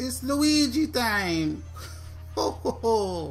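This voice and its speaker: A put-on character voice. Clear music plays in the background. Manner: cheerful, playful.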